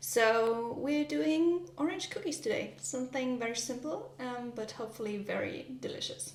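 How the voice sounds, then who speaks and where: At a moderate pace, a woman with a German accent speaks in a high pitch with lively intonation. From Germany. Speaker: vlogger. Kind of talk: casual vlog narration while baking. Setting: home kitchen. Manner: hesitant, many fillers.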